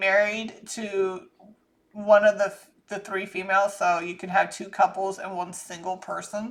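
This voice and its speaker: With an American accent, a woman delivers her words fairly slowly. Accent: Southern US, comes out thick when angry. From US South (Georgia, Florida; military brat). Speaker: psychic channeler, channel host. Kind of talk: psychic reading monologue. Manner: casual, rambling.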